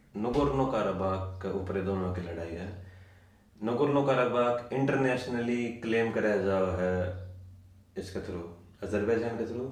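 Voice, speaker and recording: Over noticeable background noise, a man with a Haryana accent talks at a fairly low pitch with ordinary pitch variation. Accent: Haryanvi. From Haryana, India. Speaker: travel vlogger. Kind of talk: interview answer.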